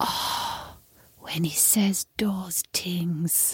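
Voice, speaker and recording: A raspy, put-on character voice at a middle pitch. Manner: creepy.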